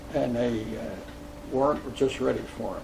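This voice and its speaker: Over noticeable background noise and audible room echo, a man with an American accent speaks at a fairly slow pace. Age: 90s. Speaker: war veteran. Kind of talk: oral history interview. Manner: halting.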